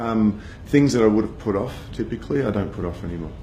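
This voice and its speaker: A man's fairly low voice with an Australian accent at a very fast pace, ordinary pitch variation, audible room echo and noticeable background noise. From Australia, Sydney (Bondi). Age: 40s. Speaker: cancer survivor, advertising agency founder. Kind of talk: personal testimony. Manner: casual, conversational with fillers.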